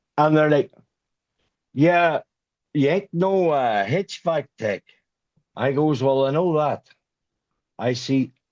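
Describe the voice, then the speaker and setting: With a strong Irish accent, a man with a fairly high voice talks at a fairly slow pace, leaving long, frequent pauses. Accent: thick Irish. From Ireland. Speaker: HVAC sales rep, former carpenter. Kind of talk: podcast interview answer, storytelling.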